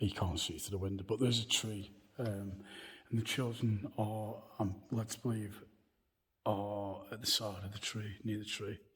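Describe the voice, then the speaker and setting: Monotone, flat intonation from a man with a somewhat breathy voice. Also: moderate pace. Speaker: paranormal video presenter. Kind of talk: walking tour vlog to camera. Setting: church grounds. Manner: halting, with fillers.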